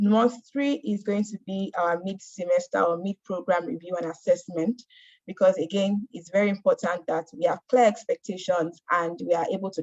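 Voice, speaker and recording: Somewhat breathy and medium in pitch, a woman's voice shows ordinary pitch variation and big swings in loudness, with a dry, close sound with no echo. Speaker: mentorship program speaker. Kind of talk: presentation. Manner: fast.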